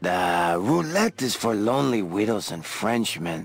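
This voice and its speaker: Faint music plays in the background as a man in a put-on character voice speaks at a fairly slow pace and a medium pitch. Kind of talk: con-man patter. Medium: machinima. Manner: smooth, wheedling, keeps saying the listener's name.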